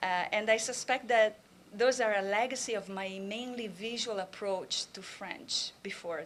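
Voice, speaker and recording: A woman speaks at a fairly slow pace. Her pitch is fairly high, with ordinary pitch variation. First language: Italian. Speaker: language and literature professor. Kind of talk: conference talk. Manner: hesitant, many fillers.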